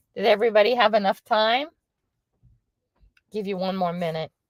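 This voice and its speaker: Fairly quick, medium-pitched speech from a woman. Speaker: lifestyle livestreamer. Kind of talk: casual livestream chat. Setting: livestream on the road. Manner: quiet.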